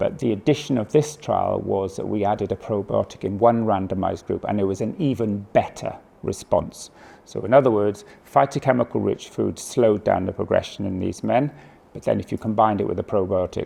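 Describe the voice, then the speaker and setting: Speaking at a fairly quick clip, a man has a British accent. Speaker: oncologist. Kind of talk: lecture. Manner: fast; hesitant fillers.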